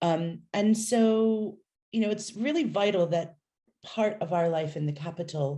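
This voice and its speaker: At a fairly slow pace, a woman with an American accent speaks at a medium pitch with a dark, mellow tone, ordinary pitch variation and a somewhat breathy quality. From United States. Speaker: city nightlife official. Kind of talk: interview.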